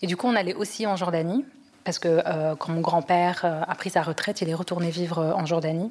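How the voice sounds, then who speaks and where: A woman with a fairly low pitch and a normal speaking voice talks at a fairly quick pace with fairly even intonation. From Europe, raised there. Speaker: podcast guest. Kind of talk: testimony.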